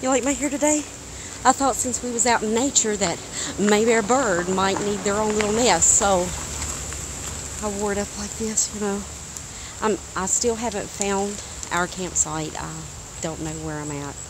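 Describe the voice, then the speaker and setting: A woman speaks at a moderate pace with ordinary pitch variation and long, frequent pauses, in a dry sound with no echo and noticeable background noise. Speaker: vlogger. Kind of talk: casual vlog chat. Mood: playful, animated, expressive. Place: open country. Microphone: phone near.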